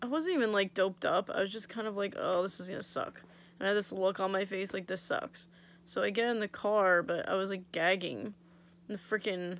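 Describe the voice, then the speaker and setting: Speaking at a fairly quick pace, a woman uses ordinary pitch variation in a dry sound with no echo. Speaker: vlogger. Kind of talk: casual vlog chat. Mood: annoyed, wry storytelling. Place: home room. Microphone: phone near.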